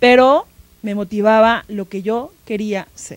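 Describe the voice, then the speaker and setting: The sound is dry, without any echo. The speaker is a woman. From Mexico, Tlaxcala. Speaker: museum educational curator. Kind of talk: interview. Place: studio. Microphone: handheld.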